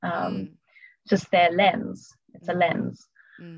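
A woman speaks in a calm tone at a medium pitch, somewhat breathy. Her pace is moderate. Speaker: eating disorder recovery coach. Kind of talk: casual interview chat. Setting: video call.

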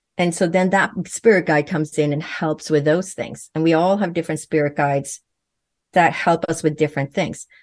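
Over a quiet background, a woman with a very deep, low pitch talks at a moderate pace in a fairly even intonation. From Sweden. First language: Swedish. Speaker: naturopathic physician and medium. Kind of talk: interview.

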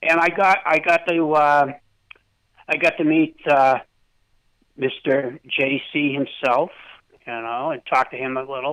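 Very slow and full of long, frequent pauses, a man speaks at a fairly high pitch with fairly even intonation. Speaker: caller. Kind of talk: casual chat. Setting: phone call.

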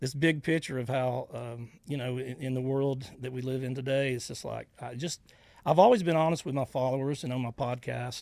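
Speaking at a fairly quick pace with a Southern US accent, a man keeps a medium pitch and fairly even intonation. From US South, Georgia / Florida Panhandle. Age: 50s. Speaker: social media personality, army veteran. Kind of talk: interview. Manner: halting, many fillers.

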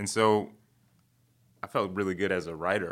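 With an American accent, a man is talking. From Chicago South Side. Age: 30s. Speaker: comedian and TV writer. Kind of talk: casual interview. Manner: fast talker.

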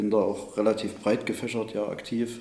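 Moderate pace with audible room echo. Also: man. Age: 30s. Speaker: city councillor and police officer. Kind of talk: interview.

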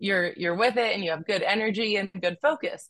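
Speaking with an American accent, this woman has an ordinary speaking voice at a medium pitch. Her pace is moderate and her pitch varies in an ordinary way. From Cleveland, Ohio and San Diego. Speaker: psychiatrist. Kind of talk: interview conversation.

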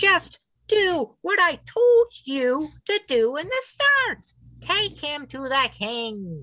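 This put-on character voice is squeaky and high, moving at a very slow pace with very wide pitch swings. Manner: excited, higher voice.

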